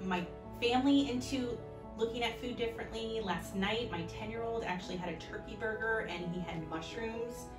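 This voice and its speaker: A woman with an American accent over clear music in the background. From Orlando, Florida. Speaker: fifth grade teacher. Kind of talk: patient testimonial to camera. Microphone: phone near.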